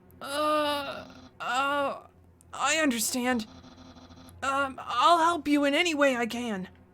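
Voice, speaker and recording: In a nervous-sounding, put-on character voice at a high pitch, a woman speaks at a very slow pace with long, frequent pauses. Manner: nervous, stammering.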